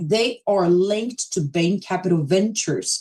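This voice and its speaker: The voice moves at a very slow pace with lively intonation and a dark, mellow, somewhat breathy tone. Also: woman. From Brazil, São Paulo. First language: Portuguese. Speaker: crypto platform presenter. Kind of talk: live stream presentation. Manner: casual, conversational.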